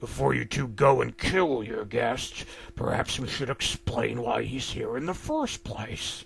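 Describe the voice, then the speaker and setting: A man puts on a growling character voice at a medium pitch. He speaks at a fairly slow pace over light background noise. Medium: read story. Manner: laid-back, smug.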